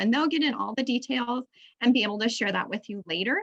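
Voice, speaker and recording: A woman's voice at a fairly high pitch. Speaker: agency loan officer presenting to farmers. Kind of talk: webinar presentation. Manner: fast.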